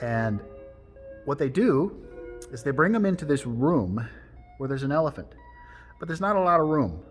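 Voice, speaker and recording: Music plays in the background while a man with a fairly high voice speaks with lively intonation. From Alaska, Tsimshian. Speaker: storyteller and life coach. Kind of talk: storytelling to camera, wisdom talk.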